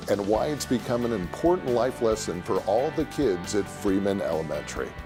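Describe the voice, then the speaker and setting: Background music behind a man talking at a moderate speed. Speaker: TV host; voice actor. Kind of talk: TV show hosting. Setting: studio.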